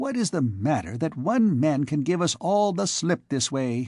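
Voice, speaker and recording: Over a quiet background, a man does a put-on character voice pitched fairly high. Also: moderate pace. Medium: read story. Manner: kindly, matter-of-fact.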